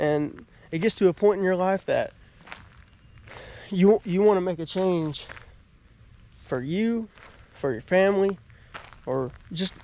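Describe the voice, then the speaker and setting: Speaking fairly slowly with a Southern US accent, a man uses a high pitch and ordinary pitch variation. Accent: Southern US (Georgia). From US South, southern Georgia. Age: 20s. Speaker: motivational vlogger. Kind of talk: casual vlog, house tour. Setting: at home. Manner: halting, many fillers.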